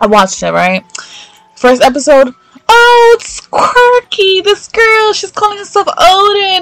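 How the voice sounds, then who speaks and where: Against noticeable background noise, a woman speaks at a fairly slow pace. Her tone is animated, with very wide pitch swings. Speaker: podcast host. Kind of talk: casual chat.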